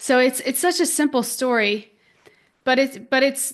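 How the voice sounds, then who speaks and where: A woman talks at a fairly slow pace, her pitch varying in an ordinary way against a quiet background. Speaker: podcast host and spiritual teacher. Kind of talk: spiritual teaching podcast talk. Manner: conversational, warm, reflective.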